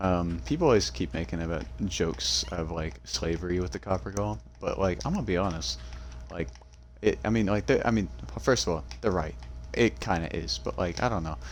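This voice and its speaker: Talking at a fairly quick pace, a man with a very deep, low pitch moves through very wide pitch swings. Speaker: gaming youtuber. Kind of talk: casual let's-play commentary. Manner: halting, many fillers.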